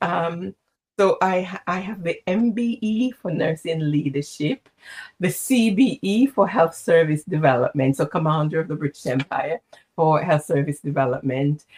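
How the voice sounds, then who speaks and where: A woman's fairly low, somewhat breathy voice carries lively intonation. The sound is dry and close, with no echo. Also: moderate pace. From Jamaica, St. James. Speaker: executive coach and former nurse leader. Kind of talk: interview.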